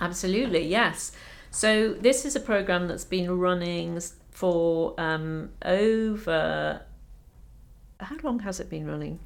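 A woman's medium-pitched voice with a slight Scottish accent, a very slow pace, and big swings in loudness. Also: ordinary pitch variation. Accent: little trace of Scottish. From Scotland, Edinburgh. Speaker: doctor and medical education leader. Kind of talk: interview conversation.

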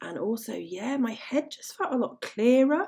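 A woman speaks at a fairly slow pace in a dark, mellow tone with an English accent. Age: 40s. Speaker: language teacher trainer and podcast host. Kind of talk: solo podcast monologue. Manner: animated.

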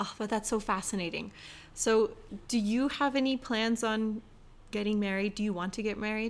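A woman's fairly high-pitched, ordinary speaking voice at a moderate pace, fairly even in intonation, on a very clean recording with a silent background. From California. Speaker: podcast host. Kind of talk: casual interview.

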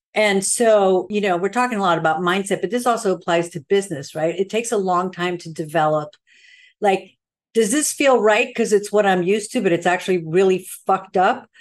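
Against a quiet background, a woman with an American accent and an ordinary speaking voice talks at a fairly quick pace at a medium pitch with ordinary pitch variation. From Sweden, American parents from Queens. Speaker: cosmetics company founder, makeup artist. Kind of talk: interview.

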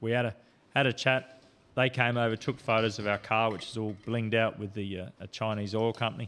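In an Australian accent, a man talks at a fairly quick pace with a medium pitch. His intonation is monotone and flat, and the recording is very clean with a silent background. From South Australia, Port Augusta. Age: 50s. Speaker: off-road racer and police officer. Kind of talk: casual interview chat. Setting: studio.

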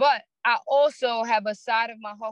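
This woman speaks with a New York accent. Her pitch is fairly high and her intonation fairly even. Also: dry, close sound with no echo. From Brooklyn, New York. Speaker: barber. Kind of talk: casual chat.

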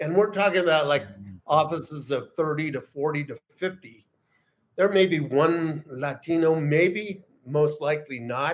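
Delivered in a plain, everyday voice with an American accent, the speech moves at a fairly slow pace. The pitch shows ordinary variation. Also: man, fairly high pitch for a man. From US Southwest, Los Angeles and El Paso. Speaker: writer and magazine founder. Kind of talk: casual chat.

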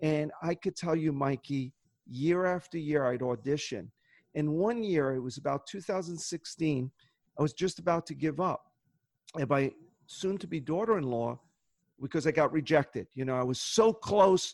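This is a normal speaking voice at a moderate speed, its pitch varying in an ordinary way. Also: man, fairly high pitch for a man. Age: 60s. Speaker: optometrist and goal-setting workshop leader. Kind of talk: interview conversation.

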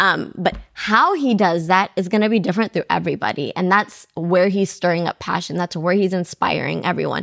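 Talking at a fairly quick pace, a woman uses an animated tone and vocal fry, captured with a dry, close sound and no echo. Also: medium pitch for a woman, ordinary pitch variation. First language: not English. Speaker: podcast co-host. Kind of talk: casual chat.

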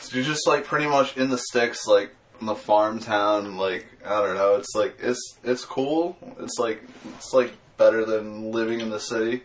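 In an American accent, a man talks at a moderate pace with medium pitch and ordinary pitch variation. Noticeable background noise is present. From Massachusetts (Lakeville, near Taunton). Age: 20s. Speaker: professional skateboarder. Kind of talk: casual chat. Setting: studio. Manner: casual, filler-heavy.

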